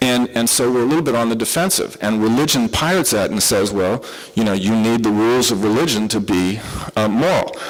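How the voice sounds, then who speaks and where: With a Southern US accent, a man talks fairly quickly at a medium pitch, with ordinary pitch variation and very even loudness. Room echo is audible, along with noticeable background noise. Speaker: psychiatrist giving a conference talk. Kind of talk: lecture. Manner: animated.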